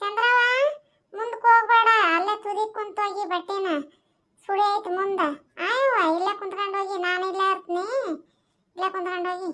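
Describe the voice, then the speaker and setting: This cartoonish character voice moves at a moderate pace with fairly even intonation. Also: woman, extremely high pitch for a woman. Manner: chatty.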